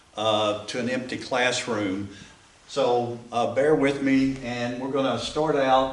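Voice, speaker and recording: A man with an Appalachian accent, medium in pitch, fairly slow and fairly even in intonation, amid audible room echo and noticeable background noise. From Appalachia, US South. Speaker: church class teacher. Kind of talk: class lecture. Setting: classroom. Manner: casual.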